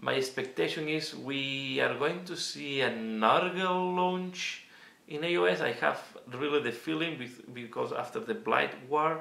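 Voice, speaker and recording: Amid noticeable background noise and audible room echo, a man with a Catalan accent speaks at a fairly slow pace with a fairly high pitch and lively intonation. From Catalonia, Spain. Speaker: miniature wargaming youtuber. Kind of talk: Q&A casual monologue. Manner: halting, many fillers.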